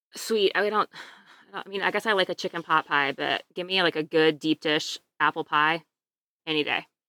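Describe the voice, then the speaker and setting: A bright, sharp tone comes through with a Midwestern American accent at a fairly quick pace, broken by long, frequent pauses. The sound is dry and close, with no echo. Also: woman, fairly low pitch for a woman. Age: 30s. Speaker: podcast guest. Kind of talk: casual chat.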